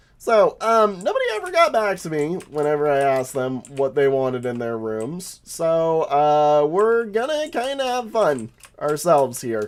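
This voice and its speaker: A man's fairly high voice at a fairly slow pace, with very wide pitch swings and hardly any pauses. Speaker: gaming streamer. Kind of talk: casual gameplay commentary. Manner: casual, many filler words.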